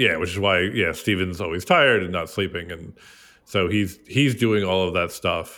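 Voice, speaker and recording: This man's voice sits at a very deep, low pitch. He keeps a moderate pace with ordinary pitch variation. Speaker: podcast host. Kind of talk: casual chat. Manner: mellow, calm.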